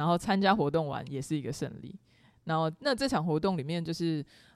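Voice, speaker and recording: A woman's very deep, low voice with ordinary pitch variation, on a very clean recording over a silent background. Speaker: podcast host. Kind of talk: casual chat. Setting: studio.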